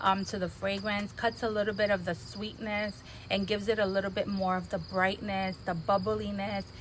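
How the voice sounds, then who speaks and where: A soft-spoken woman of medium pitch talks at a moderate pace in a monotone, flat intonation, with hardly any pauses. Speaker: fragrance reviewer. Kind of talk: product review vlog.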